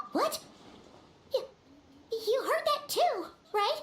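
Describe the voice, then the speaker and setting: This put-on character voice is squeaky and extremely high in pitch. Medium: video game. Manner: excitable, chatty.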